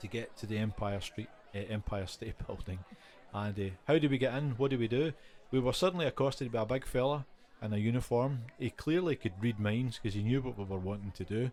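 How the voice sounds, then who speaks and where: A man with a Glasgow accent, medium pitch, ordinary pitch variation and a fairly quick pace. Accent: West of Scotland (Glasgow area) Scottish. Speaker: podcast co-host. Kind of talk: casual chat. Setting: pub shed, informal recording.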